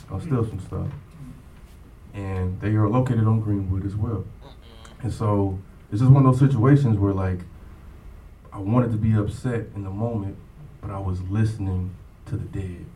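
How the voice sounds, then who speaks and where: With an American accent, a man speaks at a moderate pace in a dark, mellow, somewhat breathy tone, with big swings in loudness, long, frequent pauses, and audible room echo. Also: fairly low pitch for a man, ordinary pitch variation. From East Texas, Longview. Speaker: hip hop producer. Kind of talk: interview.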